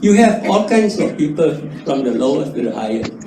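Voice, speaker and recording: A man's pitch swings very widely amid audible room echo and noticeable background noise. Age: 80s+. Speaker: customer testimonial speaker. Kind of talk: testimony.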